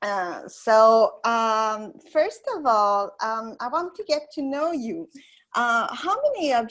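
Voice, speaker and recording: A woman speaks very slowly in a French accent. Her fairly high pitch moves with lively intonation. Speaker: software instructor. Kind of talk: webinar tutorial. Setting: online webinar. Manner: halting, many fillers.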